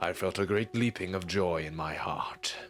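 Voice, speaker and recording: A man uses a put-on character voice with a very deep, low pitch and fairly even intonation. He talks at a moderate pace over clear background noise. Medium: read story. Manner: boastful, self-justifying.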